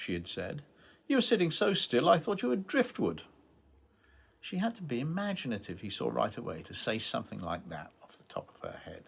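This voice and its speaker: His volume jumping widely, a man delivers his words at a fairly quick clip. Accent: British. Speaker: novelist. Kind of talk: author reading from own novel.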